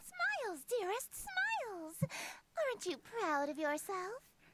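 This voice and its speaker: A woman does a squeaky put-on character voice at an extremely high pitch. Her intonation is lively and her pace fairly slow. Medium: video game. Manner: grandiose, theatrical.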